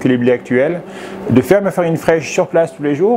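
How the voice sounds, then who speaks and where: This man's intonation is lively, with noticeable background noise present. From Savoie, French Alps. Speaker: farmer-baker. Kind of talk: interview. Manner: fast; hesitant, many fillers.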